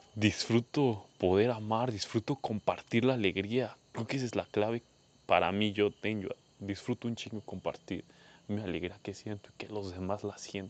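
A man with a Mexican accent speaks at a moderate pace. His voice is fairly low with fairly even intonation, in a dry, close sound with no echo. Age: 20s. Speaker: podcaster. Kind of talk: personal monologue.

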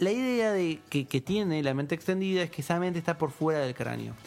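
With an Argentine accent, a man speaks at a fairly quick pace and with lively intonation. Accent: Argentine Spanish (voseo). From Argentina, provinces outside Buenos Aires. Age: 30s. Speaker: philosopher. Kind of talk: casual chat. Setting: studio.

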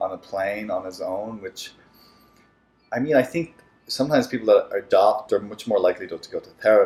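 Talking fairly quickly in a Dublin accent, a man lets his loudness swing widely. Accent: Irish (Dublin). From Ireland, Dublin. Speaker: therapist and former actor. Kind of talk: casual interview.

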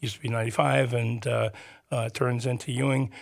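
On a very clean recording with a silent background, a somewhat breathy man with a medium pitch speaks at a moderate pace with fairly even intonation. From New Jersey (Teaneck, Bergen County). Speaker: urban planner and arts center event manager. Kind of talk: radio interview. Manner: halting, many fillers.

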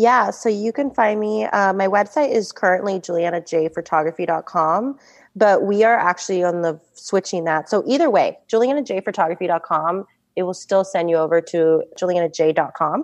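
Over a quiet background, a woman speaks at a medium pitch and a moderate pace with ordinary pitch variation. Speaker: wedding photographer. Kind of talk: interview podcast.

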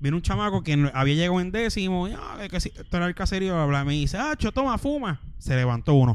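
Very fast and high-pitched, a man talks with very wide pitch swings. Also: hardly any pauses. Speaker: podcast co-host. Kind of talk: casual chat.

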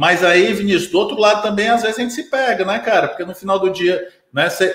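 A man speaks with ordinary pitch variation. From Brazil, Ceará (Sobral). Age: 30s. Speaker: business consultant. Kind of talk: casual interview. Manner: hesitant fillers, frequent né/entendeu.

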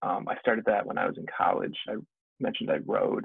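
A man speaks with an American accent. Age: 20s. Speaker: geologist. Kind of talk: casual chat.

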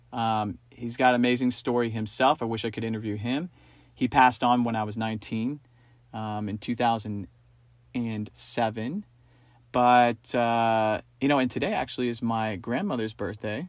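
The speech comes at a moderate pace in an American accent, with fairly even intonation. The recording is very clean, with a silent background. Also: man, medium pitch for a man. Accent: sometimes taken for a New Yorker. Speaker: podcast co-host. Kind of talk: casual chat.

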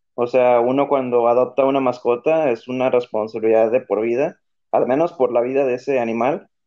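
A man with an ordinary speaking voice talks at a fairly quick pace, with medium pitch, fairly even intonation and very even loudness. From Tijuana, Mexico. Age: 30s. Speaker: podcast guest. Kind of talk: casual chat.

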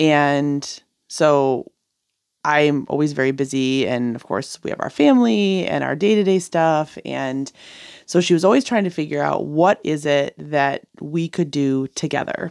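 Recorded very cleanly against a silent background, the sound is dry and close with no echo. A woman speaks fairly slowly in a very deep, low pitch with ordinary pitch variation. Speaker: guest, family member of host. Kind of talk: casual chat, interview.

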